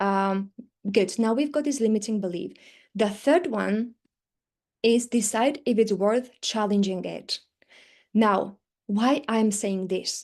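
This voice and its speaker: A woman with a non-native accent, ordinary pitch variation and long, frequent pauses, against a quiet background. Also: fairly high pitch for a woman. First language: not English. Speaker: teaching business coach. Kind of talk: live webinar training. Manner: fast when excited.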